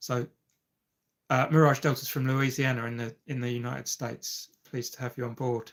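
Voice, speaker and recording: A man speaks at a fairly quick pace in a medium pitch with monotone, flat intonation. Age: 50s. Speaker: amateur golfer and YouTube live streamer. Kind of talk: casual live-stream chat. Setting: live stream. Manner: hesitant, many fillers.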